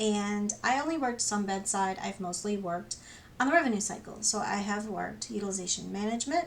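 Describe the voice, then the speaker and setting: Noticeable background noise around a woman's fairly quick speech. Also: medium pitch for a woman, lively intonation. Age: 50s. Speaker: registered nurse. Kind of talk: casual talk to camera.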